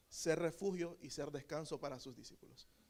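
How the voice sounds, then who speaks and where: Speaking at a moderate pace, a man with a high pitch and a Nicaraguan accent shows ordinary pitch variation. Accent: Nicaraguan, drops final letters. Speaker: preacher. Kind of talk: sermon.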